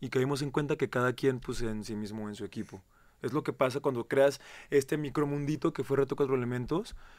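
The pace here is fairly quick. It is a normal speaking voice. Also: man. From Mexico, Querétaro; Mexico. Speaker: reality show contestant; radio guest. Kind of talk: interview. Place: studio.

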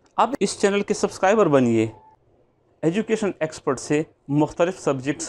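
A man talks with very wide pitch swings. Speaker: math teacher. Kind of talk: lecture introduction. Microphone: lapel.

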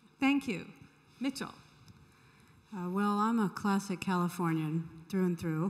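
Against a quiet background, a woman speaks at a medium pitch and a fairly slow pace, with long, frequent pauses, ordinary pitch variation and very even loudness. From California. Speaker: tech foundation leader; conference panelist. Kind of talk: panel discussion. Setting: stage with audience. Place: hall.

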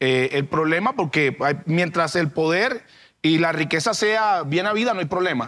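In a quiet background, a man's high, bright, sharp voice moves slowly, fairly so, through very wide pitch swings. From Cartagena, Colombian Caribbean coast. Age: 30s. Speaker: mayoral candidate; candidate. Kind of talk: political debate. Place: studio. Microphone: lapel.

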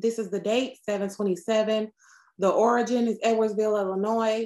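A woman speaks against a quiet background. Her intonation is monotone and flat. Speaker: dispatcher trainer. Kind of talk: tutorial. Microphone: webcam.

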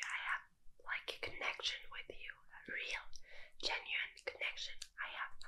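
A woman whispers at a fairly slow pace. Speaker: streamer. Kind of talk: intimate direct-to-camera chat. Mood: soft, flirty, playful. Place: home room. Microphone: webcam.

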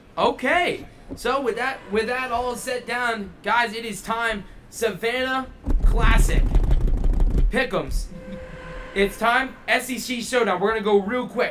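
A man's raised, projected voice at an extremely high pitch, very slow with long, frequent pauses and ordinary pitch variation, with music in the background. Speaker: college hockey show host. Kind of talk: sports preview panel chat. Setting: arena venue. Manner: energetic. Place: stadium. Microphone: studio mic.

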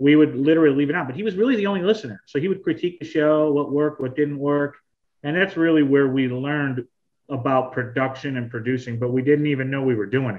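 A man talks at a very fast pace over a quiet background. His pitch is fairly high, with ordinary pitch variation. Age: 30s. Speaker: former sports radio host, sales director. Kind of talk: casual interview chat.

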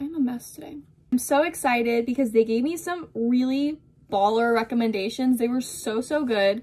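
A woman speaks with lively intonation at a high pitch. Her pace is moderate. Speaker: book vlogger. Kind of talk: casual vlog chat. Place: home room. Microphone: phone near.

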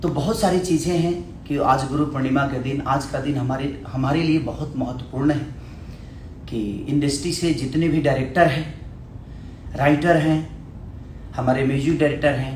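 Recorded with audible room echo and light background noise, a man talks at a fairly slow pace. His intonation is fairly even, with long, frequent pauses. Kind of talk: live stream address to audience. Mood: grateful, earnest. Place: gym. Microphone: phone near.

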